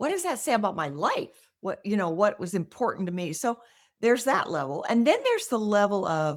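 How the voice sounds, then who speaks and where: A woman with an American accent, fairly quick pace and very wide pitch swings. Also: medium pitch for a woman. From US Midwest, Nebraska. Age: 70s. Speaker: decluttering expert, author. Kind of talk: interview.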